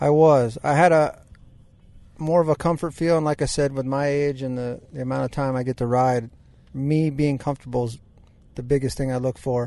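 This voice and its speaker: A man's dark, mellow voice at a fairly quick pace, with fairly even intonation and a quiet background. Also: fairly high pitch for a man. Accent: American. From US Midwest. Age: 40s. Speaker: motocross racer and firefighter. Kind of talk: casual chat.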